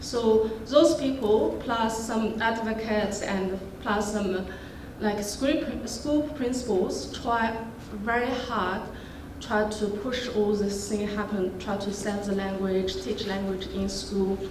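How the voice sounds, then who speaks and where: A woman talks at a very slow pace with fairly even intonation. Noticeable background noise sits behind her. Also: fairly high pitch for a woman. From China. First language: Western Yugur. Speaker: linguistics PhD candidate. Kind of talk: conference panel talk.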